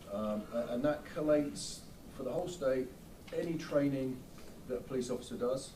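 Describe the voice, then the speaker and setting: A man's medium-pitched voice at a fairly quick pace, with long, frequent pauses, ordinary pitch variation, audible room echo and noticeable background noise. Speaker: defense attorney. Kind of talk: courtroom cross-examination. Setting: courtroom. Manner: halting, repetitive.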